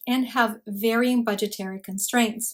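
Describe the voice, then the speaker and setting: A woman with a Spanish accent speaks at a moderate pace. Her pitch is fairly high, against a quiet background. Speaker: recruiter, career advice YouTuber; channel host. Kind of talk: product review. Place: home room.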